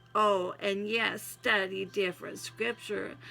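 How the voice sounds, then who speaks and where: A woman speaks in a Southern US accent with music in the background. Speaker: vlogger reading own poetry. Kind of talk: casual chat and poem reading.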